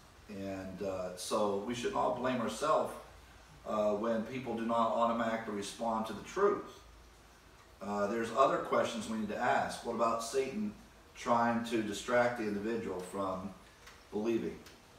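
There is audible room echo and light background noise. A man speaks at a moderate pace with fairly even intonation. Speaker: Bible teacher. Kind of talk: sermon-like Bible lecture. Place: home room. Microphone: camera far.

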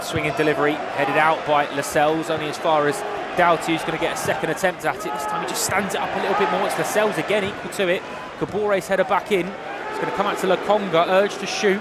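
Against noticeable background noise, a man speaks at a very fast pace in a high pitch with an animated tone. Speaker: football commentator. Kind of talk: live football commentary over match highlights, with a scripted intro. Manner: animated, fast-paced, rising excitement on chances and saves; clipped play-by-play delivery.

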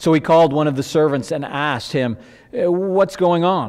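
A man is talking at a moderate pace. Little can be heard behind him. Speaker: pastor. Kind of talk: scripture reading in sermon. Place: church. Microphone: headset.

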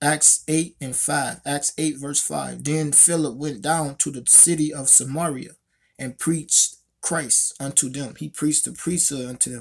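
Intonation stays fairly even as a man talks at a fairly slow pace. The background is quiet. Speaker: religious commentator. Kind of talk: scripture commentary. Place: home room. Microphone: phone near.

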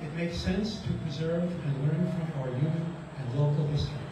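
Strong room echo and noticeable background noise surround a man speaking at a moderate pace with fairly even intonation. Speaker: clergy member and retired psychologist. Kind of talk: rally speech. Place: garden. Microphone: camera far.

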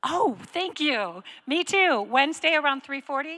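Over a quiet background, a woman speaks with a bright, sharp tone. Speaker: church campus director host. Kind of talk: church announcements and welcome. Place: stage. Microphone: handheld.

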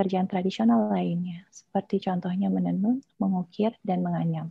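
Her voice somewhat breathy, a woman speaks at a medium pitch and a moderate pace, with a dry, echo-free sound and a quiet background. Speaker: doctoral candidate and design lecturer; candidate, design lecturer. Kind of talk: dissertation defense presentation; answering examiners' questions. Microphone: video call.

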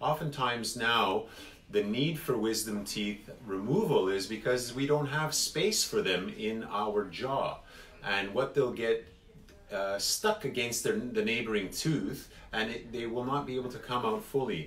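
A man speaks at a very slow pace with ordinary pitch variation. Audible room echo and faint music sit in the background. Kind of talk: explanatory talk to viewers. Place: office. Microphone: phone near.

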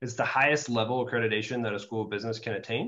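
A man's medium-pitched voice comes through over a quiet background. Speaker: university admissions director. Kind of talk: informational webinar presentation. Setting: video call. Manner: halting, many fillers. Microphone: webcam.

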